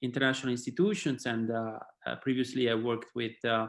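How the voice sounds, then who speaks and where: A man with an Italian accent speaks with fairly even intonation. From Italy. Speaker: sport and human rights policy head. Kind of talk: panel discussion.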